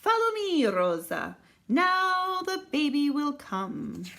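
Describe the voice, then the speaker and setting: A put-on character voice is raised and projected at a very slow pace. Its pitch swings very wide. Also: woman, high pitch for a woman. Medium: read story. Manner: confident, warm.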